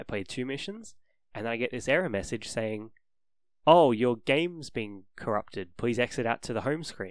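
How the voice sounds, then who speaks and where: A man with a New Zealand accent and lively intonation, on a very clean recording with a silent background. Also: medium pitch for a man, moderate pace. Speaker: podcast co-host. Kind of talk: casual chat.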